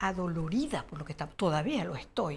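Light background noise sits behind a woman whose voice makes very wide pitch swings. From Venezuela, Barquisimeto; Venezuela. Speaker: children's author; interviewee. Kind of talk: interview. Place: studio. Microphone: lapel.

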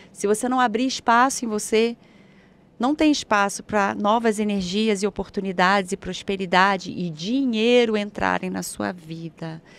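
A woman speaks with ordinary pitch variation. The sound is dry with no echo. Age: 40s. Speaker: spiritual therapist; guest. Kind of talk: guided meditation. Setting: live stream studio. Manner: slow. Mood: calm, soothing guidance.

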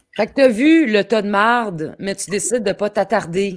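Someone speaks with a Quebec accent at a moderate pace and ordinary pitch variation. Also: woman. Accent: Québécois French. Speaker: podcast host. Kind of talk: casual interview.

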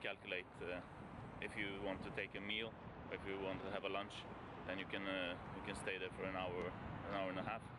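The speech comes at a fairly quick pace, dry with no echo, over loud background noise. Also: man. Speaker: travel vlogger. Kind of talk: casual vlog chat. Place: street. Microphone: phone near.

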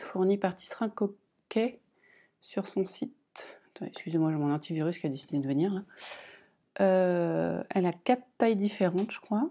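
Dark, mellow tone from a woman at medium pitch, moderate pace, ordinary pitch variation, long and frequent pauses, quiet background. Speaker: crafting vlogger; knitting vlogger. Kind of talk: casual vlog monologue. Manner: hesitant, many fillers. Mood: calm, relaxed. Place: home room. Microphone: lapel.

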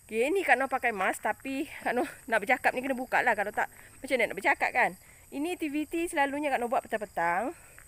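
A woman's high voice, very fast and lively in intonation, on a very clean recording with a silent background. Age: old. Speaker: vlogger. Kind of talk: walking vlog. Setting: outdoors. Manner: casual, chatty.

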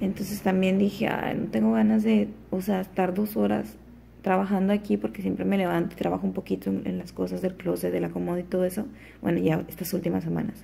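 A woman talks at a fairly quick pace. Light background noise runs underneath. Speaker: vlogger. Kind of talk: casual vlog chat. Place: home room. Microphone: phone near.

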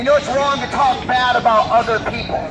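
Over noticeable background noise, a man's speech proceeds at a moderate pace. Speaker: open-air street preacher. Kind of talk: open-air street preaching to a crowd. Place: street. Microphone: camera far.

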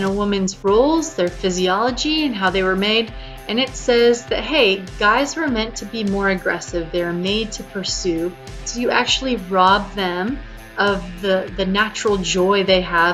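Faint music sits in the background as a woman speaks at a fairly slow pace with ordinary pitch variation. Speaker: dating advice vlogger. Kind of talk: casual vlog chat. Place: home room. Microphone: webcam.

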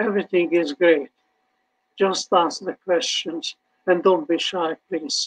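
A man's high-pitched voice with a Hungarian accent against a quiet background. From Hungary. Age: 80s+. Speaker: Holocaust survivor speaker. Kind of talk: testimony with audience Q&A. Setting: online video event. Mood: earnest, slightly wry. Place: home room.

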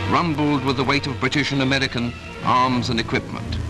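The speech moves at a fairly quick pace with clear music in the background. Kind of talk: newsreel narration. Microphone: old recording.

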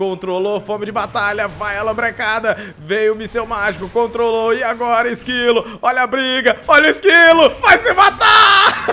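In a raised, projected voice with a Brazilian accent, the speaker talks at a moderate pace with lively intonation and hardly any pauses over noticeable background noise. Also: man, extremely high pitch for a man. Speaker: esports commentator. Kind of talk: live esports commentary, play-by-play of a Dota 2 match. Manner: jokey and playful, teasing players with banter.

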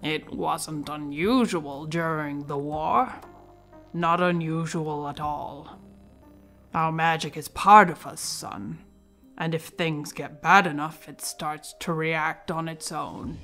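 Over clear background music, a woman puts on a rumbling character voice at a very deep, low pitch, speaking at a fairly slow pace. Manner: grumbling, folksy, fatherly.

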